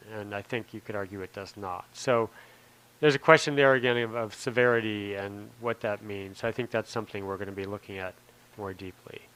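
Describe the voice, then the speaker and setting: With fairly even intonation, a man's fairly low voice moves at a fairly quick clip. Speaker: police oversight commissioner leading discussion. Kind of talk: public meeting discussion. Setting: public commission meeting. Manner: fast; hesitant, many fillers.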